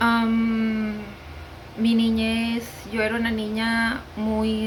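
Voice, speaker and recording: A woman speaks at a fairly high pitch. Noticeable background noise and audible room echo surround her voice. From Venezuela. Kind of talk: testimony. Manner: unscripted, hesitant with fillers.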